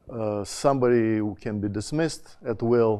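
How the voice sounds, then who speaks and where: A man with a Russian accent speaks at a medium pitch in a dark, mellow tone. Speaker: education dean, conference panelist. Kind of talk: conference talk. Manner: hesitant, many fillers and restarts.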